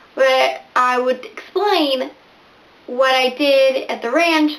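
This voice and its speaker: There is noticeable background noise as a woman speaks at a very slow pace. Her pitch is high. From Venezuela (Barquisimeto) to age nine, then US; back in Venezuela for high school. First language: Spanish. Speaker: booktuber. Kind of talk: casual vlog talk to camera.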